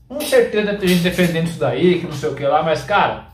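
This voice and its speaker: Loud and high-pitched, a man with a Brazilian accent talks at a moderate pace with lively intonation, with audible room echo and light background noise. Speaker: gaming YouTuber. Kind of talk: angry rant. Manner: indignant, loud, exasperated, repeating 'cara' and 'pessoal'. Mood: exasperated, complaining. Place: home room.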